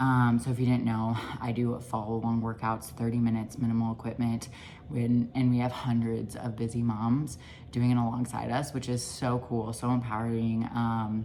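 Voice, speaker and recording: Quiet and very deep, a woman's low voice moves at a moderate pace with monotone, flat intonation amid audible room echo. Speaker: nutrition coach and mom vlogger. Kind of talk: casual vlog narration. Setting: at home. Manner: quiet, hushed.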